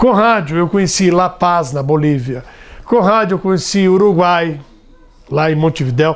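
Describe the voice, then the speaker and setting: Pitched high for a man, his voice has ordinary pitch variation and a moderate pace. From Brazil, São Paulo state interior. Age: 60s. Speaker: radio broadcaster and politician. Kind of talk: interview testimony. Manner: conversational, with fillers and hesitations.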